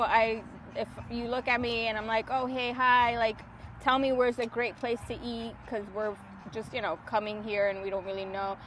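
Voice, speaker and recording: Fairly high-pitched, a woman speaks with an American accent at a moderate pace. Her intonation stays fairly even. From New York City. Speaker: podcast host. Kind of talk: casual chat. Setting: outdoors at the beach.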